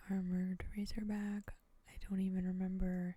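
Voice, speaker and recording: Soft-spoken delivery unfolds at a moderate pace. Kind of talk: soft-spoken ASMR gameplay commentary. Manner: soft-spoken, casual, conversational.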